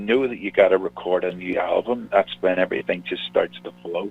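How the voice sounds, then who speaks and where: With a Northern Irish accent, a man talks at a moderate pace. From Northern Ireland. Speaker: singer-songwriter. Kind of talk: radio interview.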